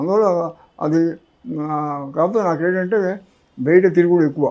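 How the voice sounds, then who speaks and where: Here a man talks in a high pitch. His intonation is fairly even. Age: 80s+. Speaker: former union activist. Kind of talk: interview. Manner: halting.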